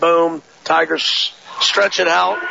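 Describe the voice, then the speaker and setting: A man's voice over noticeable background noise. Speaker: color commentator, coach. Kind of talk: live sports commentary, analysis. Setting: gym broadcast, courtside. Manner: conversational, analytical, measured.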